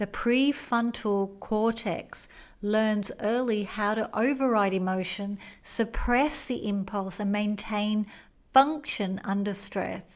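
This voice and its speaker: A calm, soothing voice at a very slow pace with fairly even intonation, on a very clean recording with a silent background. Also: woman, fairly high pitch for a woman. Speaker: podcast host, wellness coach. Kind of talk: explanatory wellness podcast monologue. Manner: calm, soothing, measured.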